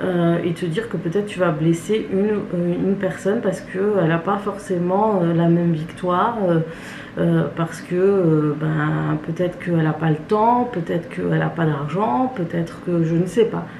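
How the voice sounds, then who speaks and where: A woman's fairly low voice with ordinary pitch variation, at a fairly slow pace, amid noticeable background noise and audible room echo. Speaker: beauty and family vlogger. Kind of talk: casual vlog monologue. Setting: at home, kitchen. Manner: hesitant, many fillers.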